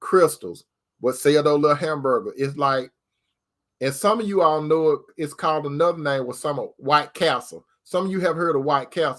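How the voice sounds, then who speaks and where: A man speaks in a normal speaking voice, pitched fairly high. His pitch varies in an ordinary way, and his pace is moderate. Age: 60s. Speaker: relationship advice talk show host. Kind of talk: casual monologue. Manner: conversational, repetitive.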